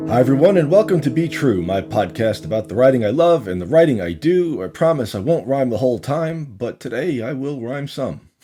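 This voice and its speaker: Over noticeable background noise, a man with a medium-pitched voice talks fairly quickly, his pitch swinging very widely. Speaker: podcast host and poet. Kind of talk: podcast monologue.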